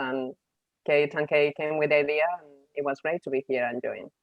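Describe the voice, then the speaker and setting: A woman speaks with a Spanish accent at a fairly quick pace. Her pitch is very deep and low. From Spain. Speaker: psychologist. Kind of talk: webinar presentation.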